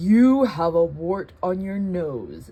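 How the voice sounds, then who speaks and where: Someone puts on a character voice at a middle pitch. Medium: read story. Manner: frank, plainspoken.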